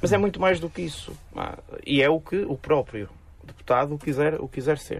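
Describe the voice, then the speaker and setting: A man talks in a plain, everyday voice, fairly high in pitch. He keeps a moderate pace with ordinary pitch variation. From northern Portugal, Amarante. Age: 30s. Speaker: politician. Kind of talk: radio interview.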